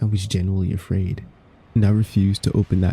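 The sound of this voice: This is an unforced reading voice. The words are read that way throughout.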